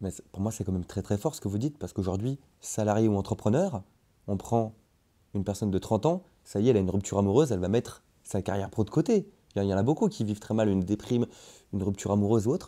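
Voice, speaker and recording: Fairly low male voice with a dark, mellow tone and ordinary pitch variation, very fast pace with long, frequent pauses, very clean recording and silent background. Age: 20s. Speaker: podcast host. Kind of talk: interview.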